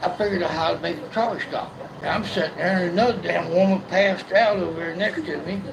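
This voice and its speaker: Against crowd noise and audible room echo, a man with a high pitch talks at a moderate pace with ordinary pitch variation. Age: 60s. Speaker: blind man sharing his life story. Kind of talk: casual chat. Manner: halting, repeats words.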